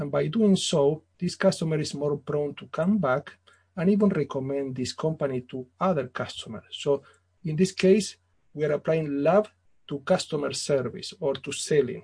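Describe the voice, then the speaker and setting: In an Italian accent, the voice moves at a moderate pace and sounds somewhat breathy. Its loudness swings widely while its pitch varies an ordinary amount. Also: man, fairly high pitch for a man. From Italy / Argentina. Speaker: business author. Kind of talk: interview. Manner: formal.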